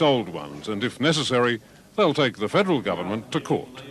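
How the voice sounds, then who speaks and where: Noticeable background noise accompanies a man talking at a fairly quick pace and medium pitch. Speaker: news reporter. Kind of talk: TV news report.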